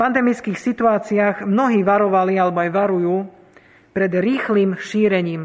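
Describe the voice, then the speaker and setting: Fairly slow in pace, a man speaks with a high voice. His intonation stays fairly even. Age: 20s. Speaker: lay preacher. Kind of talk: sermon.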